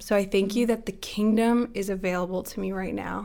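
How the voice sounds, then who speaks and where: An unremarkable speaking voice with fairly even intonation is heard in a very clean recording with a silent background. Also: woman. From Toronto, Canada. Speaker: prayer ministry leader. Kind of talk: casual faith interview.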